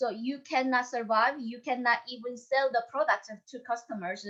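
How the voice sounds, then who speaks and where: With a Korean accent, a woman speaks at a high pitch. Her tone is bright and sharp. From North Korea. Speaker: North Korean escapee and YouTuber. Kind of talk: panel discussion.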